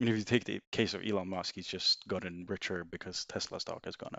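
A man speaks very fast with fairly even intonation. His pitch is very deep and low. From Sweden. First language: Swedish. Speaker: former banker. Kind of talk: casual chat.

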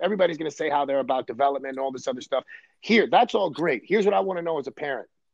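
With a New York accent, a man talks at a very fast pace and high pitch. His intonation is lively, and the sound is dry and close, with no echo. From Brooklyn, New York. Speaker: baseball coach. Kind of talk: casual chat.

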